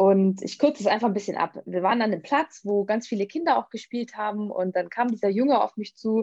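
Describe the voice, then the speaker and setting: Over a quiet background, a voice with a dark, mellow tone moves at a fairly quick pace with ordinary pitch variation. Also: woman. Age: 30s. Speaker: vegan nutrition coach. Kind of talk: interview.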